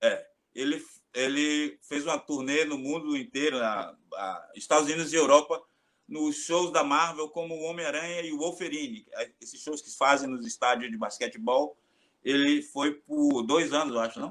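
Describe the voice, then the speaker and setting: A man with a Bahian accent talks at a moderate pace and a fairly high pitch, with ordinary pitch variation and big swings in loudness. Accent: Bahian Brazilian Portuguese. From Bahia, Brazil (Salvador). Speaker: capoeira master. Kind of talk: casual chat.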